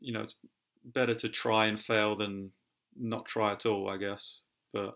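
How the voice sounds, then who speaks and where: A man's fairly low, monotone, flat voice at a fairly slow pace. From United Kingdom. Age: 30s. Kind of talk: casual talk to camera. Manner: hesitant, halting; low-spirited.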